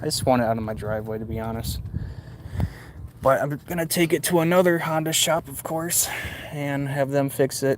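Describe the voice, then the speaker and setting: Speaking with an American accent, a man of medium pitch talks at a fairly quick pace with ordinary pitch variation. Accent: Michigan accent, noticeable to others. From Michigan. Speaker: motorcycle hobbyist streamer. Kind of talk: casual live stream chat.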